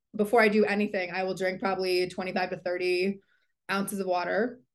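A woman talks at a fairly quick pace with an American accent. Her pitch sits in the medium range. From New England, US East Coast. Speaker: talent manager. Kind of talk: casual interview.

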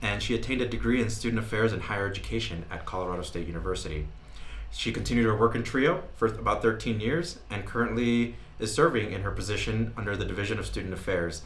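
Here a man speaks in a New Mexican accent. His pace is very fast. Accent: New Mexican American English. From New Mexico. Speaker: podcast host. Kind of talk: casual interview; scripted intro and outro.

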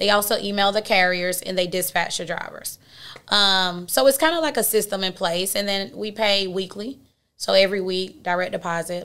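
On a very clean recording with a silent background, a woman with an Atlanta accent speaks at a moderate pace in a medium pitch, her tone bright and sharp and her pitch varying in an ordinary way. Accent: Southern US (Atlanta). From Atlanta, Georgia. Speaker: dispatch company owner, entrepreneur. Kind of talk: interview. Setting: studio.

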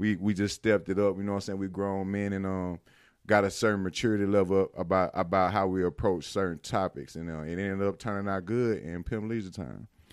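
With an American accent, a man speaks fairly quickly at a fairly low pitch with fairly even intonation, in a very clean recording with a silent background. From Mississippi, Winston County. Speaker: rapper. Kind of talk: casual interview. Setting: in person studio.

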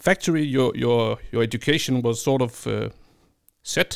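This very clean recording has a silent background. A man speaks with a Danish accent and ordinary pitch variation. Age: 40s. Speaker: podcast host. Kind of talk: interview. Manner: halting.

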